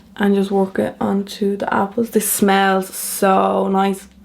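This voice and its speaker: A woman with a medium pitch speaks against noticeable background noise. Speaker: makeup artist. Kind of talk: casual makeup tutorial to camera.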